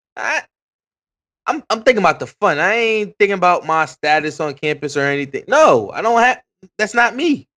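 On a very clean recording with a silent background, a man speaks in a raised, projected voice at a high pitch, with very wide pitch swings, a bright, sharp tone and a moderate pace. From Paterson, New Jersey. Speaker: podcast co-host. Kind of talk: casual chat.

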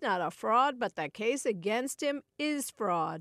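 Moderate pace in a dry, close sound with no echo over a quiet background. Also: woman. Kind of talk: newsreading. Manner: formal, steady, neutral newscaster delivery.

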